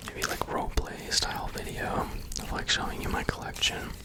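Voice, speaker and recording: A man whispers at a fairly slow pace. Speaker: ASMR content creator. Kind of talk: ASMR ramble while opening trading cards. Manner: whispered, soft-spoken.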